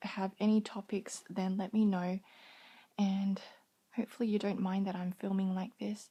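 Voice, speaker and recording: A soft-spoken woman's medium-pitched voice, somewhat breathy, with a dark, mellow tone. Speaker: vlogger. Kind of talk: casual vlog talk to camera.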